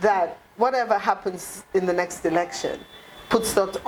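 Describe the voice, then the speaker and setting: A passionate tone at a fairly slow pace amid noticeable background noise. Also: woman. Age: 60s. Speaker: party leader. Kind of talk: interview.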